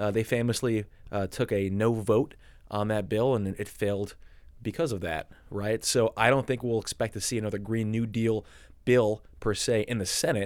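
In a very clean recording with a silent background, a man uses an unremarkable speaking voice, fairly low in pitch, at a moderate pace with fairly even intonation. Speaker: environmental lawyer and lobbyist. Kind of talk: podcast interview.

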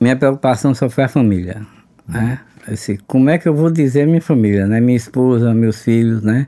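This man has a dark, mellow tone at a medium pitch. His pitch variation is ordinary. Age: 50s. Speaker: oral cancer survivor. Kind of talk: testimony. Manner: halting.

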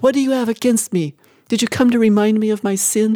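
The sound is dry and close, with no echo. A woman with a fairly high pitch talks at a very fast pace with very even loudness.

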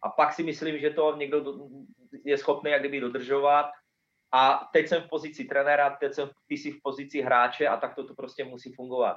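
Using a fairly high pitch, a man speaks at a moderate pace in a monotone, flat intonation with big swings in loudness. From Slovakia, near Martin. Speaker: football coach, former professional footballer. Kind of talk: interview. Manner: halting, repeats words.

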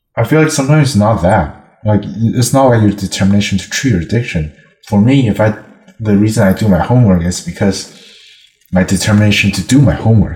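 A man's fairly low voice with a non-native accent, at a very fast pace. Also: ordinary pitch variation. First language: not English. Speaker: language practice partner. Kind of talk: casual chat. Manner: fast talker.

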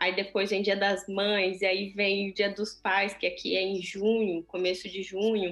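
Music plays in the background. A woman speaks at a medium pitch and a fairly slow pace. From Brazil. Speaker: chocolatier and small business owner. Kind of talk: interview conversation. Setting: video call.

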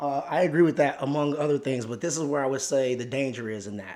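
This man has a medium pitch and ordinary pitch variation. He talks in an animated tone at a very fast pace. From Chicago. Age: 30s. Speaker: guest. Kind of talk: casual chat.

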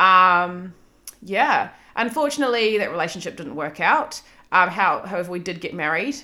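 In a very clean recording with a silent background, a woman with a slight New Zealand accent speaks at a moderate pace in a medium pitch with a bright, sharp tone, very wide pitch swings and big swings in loudness. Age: 30s. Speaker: podcast host. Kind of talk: solo monologue, casual personal storytelling. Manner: casual, self-deprecating, swearing.

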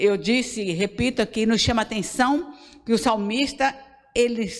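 Here is a woman with a normal speaking voice and a fairly high pitch. Her intonation is lively. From Brazil, Bahia interior. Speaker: pastor. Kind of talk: sermon.

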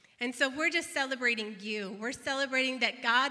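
A woman's tone comes across warm, upbeat, bright and sharp, with ordinary pitch variation. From northeastern Illinois / southeastern Wisconsin, US. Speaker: pastor. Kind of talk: celebratory church announcement.

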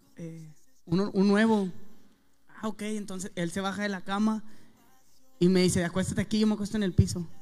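A man speaks at a moderate pace in a high, flat monotone, with long pauses coming often. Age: 20s. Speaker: rapper. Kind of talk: testimony.

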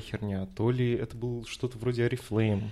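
With flat, monotone intonation, a man talks at a medium pitch. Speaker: podcast co-host. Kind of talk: casual chat.

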